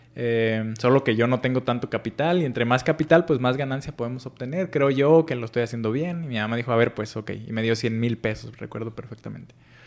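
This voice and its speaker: This man has an ordinary speaking voice, pitched in the medium range with ordinary pitch variation, and he talks at a fairly quick pace. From Mexico, Michoacán (Paracho). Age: 40s. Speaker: financial educator and entrepreneur. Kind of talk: interview. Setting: office.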